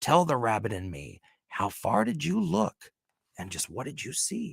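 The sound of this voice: Growling in a put-on character voice, a man speaks at a medium pitch and a moderate pace with very wide pitch swings.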